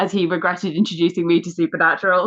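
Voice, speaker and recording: The voice has a bright, sharp tone and an English accent, moving at a fairly quick pace. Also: woman. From England. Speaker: archaeologist and podcast guest host. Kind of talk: casual chat.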